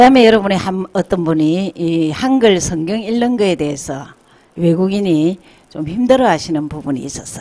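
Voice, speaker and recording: A woman's ordinary speaking voice, medium in pitch, with lively intonation at a moderate pace. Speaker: Bible class teacher. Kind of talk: sermon-style teaching with interpreter.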